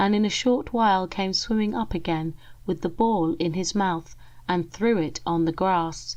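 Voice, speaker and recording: A soft-spoken woman talks at a moderate pace. Her pitch is medium, with ordinary variation. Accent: English. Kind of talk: ASMR story reading.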